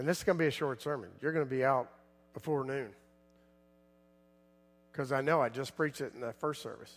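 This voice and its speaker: Over music in the background, a man does a raspy put-on character voice at a medium pitch, talking very fast with ordinary pitch variation and long, frequent pauses. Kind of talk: preacher speaking to congregation. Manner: talking slowly, deliberately.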